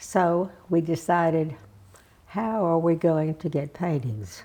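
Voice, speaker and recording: Speaking with a Texas accent, a woman uses a dark, mellow tone and fairly low pitch, moving at a fairly slow pace with lively intonation. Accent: Southern US (Texas). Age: 80s+. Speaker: civic leader and arts patron. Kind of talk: oral history interview answer. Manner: hesitant, reflective.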